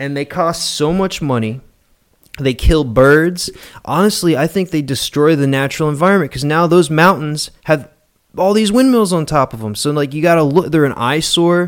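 A man with an American accent talks at a moderate pace in a normal speaking voice, fairly high in pitch with ordinary pitch variation. The recording is very clean, with a silent background. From West Virginia. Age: 30s. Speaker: podcast guest, creation science enthusiast. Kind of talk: casual chat.

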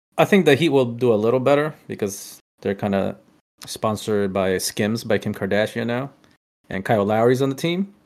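A man's ordinary speaking voice at medium pitch, moderate in pace, with lively intonation. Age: 30s. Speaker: basketball podcast co-host. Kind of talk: casual chat.

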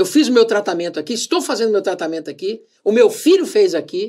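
Talking at a fairly quick pace, a man's voice sits at an extremely high pitch and makes very wide pitch swings. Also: very clean recording, silent background. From Brazil. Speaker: radio host and salesman. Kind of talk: casual interview chat. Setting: studio with camera. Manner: animated.

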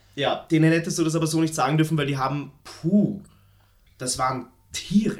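Speaking at a moderate pace with long, frequent pauses, a man has a fairly high pitch. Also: ordinary pitch variation. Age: 20s. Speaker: podcast co-host. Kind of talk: casual chat. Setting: at home, recording in an apartment.

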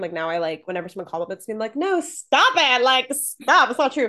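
Her voice is fairly high and bright, sharp in tone, as the woman talks at a fairly quick pace with very wide pitch swings and an animated tone over a quiet background. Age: 20s. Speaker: YouTuber and agency founder. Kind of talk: casual interview chat.

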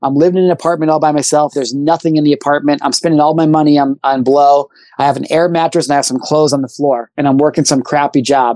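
A man with an American accent talks at a very fast pace with hardly any pauses, his fairly high voice dark and mellow in tone, his intonation fairly even, and the sound dry and close with no echo. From rural Illinois, US Midwest. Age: 30s. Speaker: motivational speaker. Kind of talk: casual interview.

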